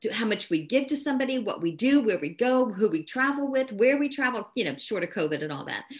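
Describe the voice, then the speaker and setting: Talking at a very fast pace with hardly any pauses, a woman with a fairly high voice shows very wide pitch swings and vocal fry. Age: 60s. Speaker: business leader and network marketer. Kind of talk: interview.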